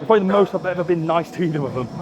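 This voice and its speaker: Over music in the background, a man with a British accent talks at a very fast pace in a high pitch with ordinary pitch variation. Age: 20s. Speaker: bodybuilder and coach. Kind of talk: casual vlog commentary in the gym. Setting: gym. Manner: mumbles words.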